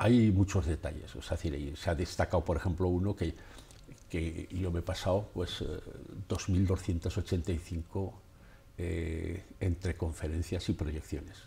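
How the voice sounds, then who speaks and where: A very deep, low-pitched man's voice, dark and mellow in tone and somewhat breathy, with fairly even intonation at a very slow pace. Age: 70s. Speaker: photographer and author; guest. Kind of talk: radio interview. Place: studio. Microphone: lapel.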